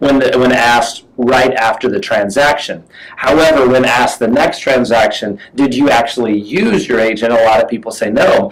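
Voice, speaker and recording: Medium pitch, ordinary pitch variation and a moderate pace from a man, with noticeable background noise. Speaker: real estate marketing host. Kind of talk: webinar discussion. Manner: halting, many fillers and repeats.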